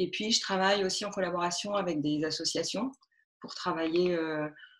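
Fairly low pitch from a woman, her intonation fairly even. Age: 40s. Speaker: textile artist. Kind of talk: interview. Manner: halting.

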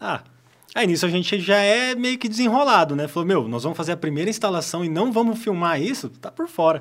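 A man with a high pitch, lively intonation and fairly quick pace. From Paraná, Brazil (Apucarana). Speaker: solar energy entrepreneur. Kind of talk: podcast interview.

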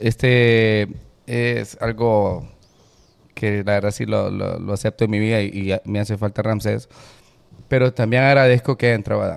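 At a fairly slow pace, a man with a fairly low voice speaks in a flat monotone, leaving long, frequent pauses. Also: very clean recording, silent background. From Honduras. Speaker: musician and music producer. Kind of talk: casual chat.

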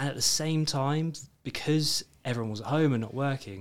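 A British-accented man speaks at a moderate pace with ordinary pitch variation on a very clean recording with a silent background. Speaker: financial advisor, podcast co-host. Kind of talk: casual chat. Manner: joking, banter.

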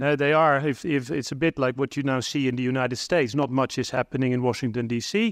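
A medium-pitched man with a Dutch accent at a very fast pace, ordinary pitch variation and a quiet background. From Netherlands. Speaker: diplomat. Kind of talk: conference keynote. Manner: halting, many fillers and repetitions.

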